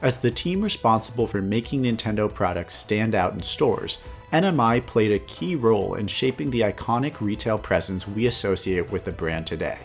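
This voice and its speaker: A man at medium pitch, lively intonation and hardly any pauses, with music in the background. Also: fairly quick pace. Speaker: video game history narrator. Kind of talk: documentary narration.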